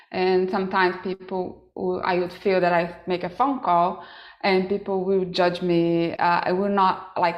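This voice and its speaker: Speaking with a non-native accent, a woman talks at a medium pitch. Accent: foreign. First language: not English. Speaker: yoga teacher. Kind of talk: panel discussion.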